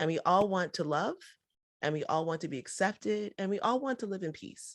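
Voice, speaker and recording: On a very clean recording with a silent background, a woman with an American accent speaks at a moderate pace and medium pitch, animated and with lively intonation and vocal fry. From United States. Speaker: entrepreneur and podcast host. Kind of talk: podcast interview.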